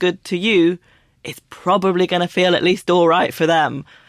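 On a very clean recording with a silent background, a woman with a London accent speaks quickly enough, at a fairly quick pace, with medium pitch and monotone, flat intonation. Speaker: author. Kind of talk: casual chat.

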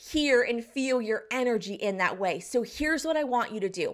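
Speaking with an American accent, a woman uses very wide pitch swings at a moderate pace. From US South, southeastern North Carolina. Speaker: business coach. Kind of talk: tutorial.

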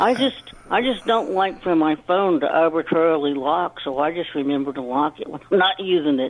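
In an ordinary speaking voice, a woman talks at a moderate pace with hardly any pauses, her fairly low pitch carrying lively intonation. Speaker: co-host. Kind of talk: casual chat.

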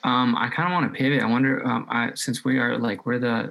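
A man speaks at medium pitch. He has an unremarkable speaking voice. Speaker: podcast host. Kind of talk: casual chat.

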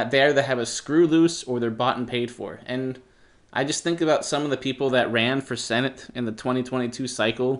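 A man at a medium pitch, with fairly even intonation, a moderate pace and a quiet background. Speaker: political podcaster. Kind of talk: political commentary monologue. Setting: home office. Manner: rambling, casual.

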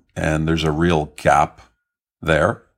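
With a Canadian accent, a man speaks at a moderate pace at a very deep, low pitch, his intonation fairly even. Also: very clean recording, silent background. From Canada. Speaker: tech company CEO. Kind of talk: interview.

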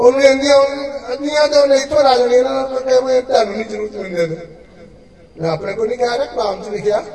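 A man's extremely high voice shows ordinary pitch variation. Noticeable background noise and audible room echo fill the recording. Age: 60s. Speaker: pastor. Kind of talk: sermon.

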